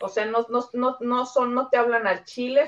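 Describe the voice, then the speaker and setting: A woman talks at a moderate pace in a fairly high voice, with noticeable noise in the background. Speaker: Mexican expat guest. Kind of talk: casual chat.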